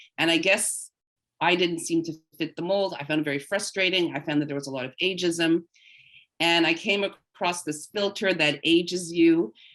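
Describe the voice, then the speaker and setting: The woman has a normal speaking voice, fairly low in pitch, with fairly even intonation. She keeps a moderate pace. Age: 60s. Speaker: voice actor and social media creator. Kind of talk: webinar interview.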